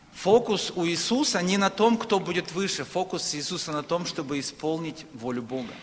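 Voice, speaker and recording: Over noticeable background noise, a man talks at a moderate pace with hardly any pauses, his high pitch carried by lively intonation. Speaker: preacher. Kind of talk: sermon.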